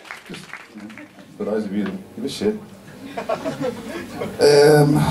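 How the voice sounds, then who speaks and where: Against crowd noise in the background, a man with a fairly high pitch talks at a fairly slow pace, his pitch swinging very widely and his loudness swinging a lot. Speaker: event host. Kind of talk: live event hosting.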